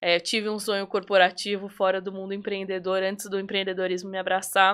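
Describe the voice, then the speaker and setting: Talking at a fairly quick pace, a woman at medium pitch uses monotone, flat intonation on a very clean recording with a silent background. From Brazil, São Paulo state (Atibaia). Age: 20s. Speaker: entrepreneur, confectioner. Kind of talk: podcast interview.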